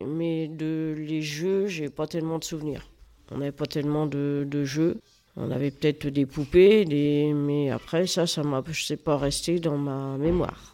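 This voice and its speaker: A woman speaks very slowly in a very deep, low voice with a dark, mellow tone. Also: fairly even intonation. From France, rural Loiret farm. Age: 60s. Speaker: grandmother sharing life story. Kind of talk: interview. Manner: halting.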